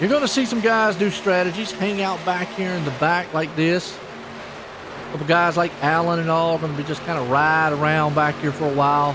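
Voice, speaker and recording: In an American accent, a man speaks with ordinary pitch variation. Audible room echo and noticeable background noise surround his voice. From US South, North Carolina. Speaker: esports race commentator. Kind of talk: live commentary. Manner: animated; trips over some words.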